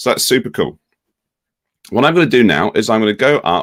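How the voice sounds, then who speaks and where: At a moderate pace and medium pitch, a man speaks with vocal fry and very wide pitch swings in a very clean recording with a silent background. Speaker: ed-tech company education lead. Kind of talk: software tutorial demo.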